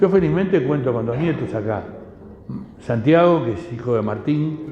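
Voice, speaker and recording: A man with a fairly high pitch speaks at a moderate pace with lively intonation. Noticeable background noise and audible room echo are present. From Uruguay. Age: 80s+. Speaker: speaker at community talk, descendant of Lebanese immigrants. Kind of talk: talk to an audience. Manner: halting, many repetitions.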